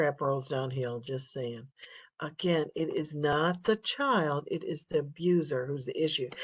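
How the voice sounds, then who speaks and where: Quiet and calm in tone, a woman speaks at a fairly slow pace in a very deep, low pitch. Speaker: nursing instructor. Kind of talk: lecture. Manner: quiet, calm.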